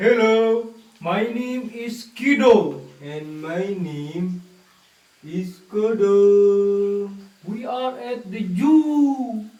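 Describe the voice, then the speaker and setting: A cartoonish character voice, female-sounding and fairly high-pitched for a woman, speaks at a very slow pace with a slight echo. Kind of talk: children's puppet show. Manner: playful, upbeat.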